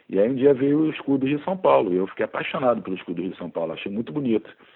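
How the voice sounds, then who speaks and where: A man at a very fast pace with lively intonation. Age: 40s. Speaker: biology teacher and author. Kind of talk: casual interview chat.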